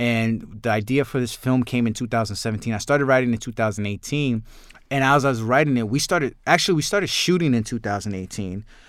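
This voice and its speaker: A man talks at a very fast pace in a medium pitch with ordinary pitch variation. The recording is very clean, with a silent background. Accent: New York. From New York, Queens. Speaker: filmmaker and actor. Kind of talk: interview. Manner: halting.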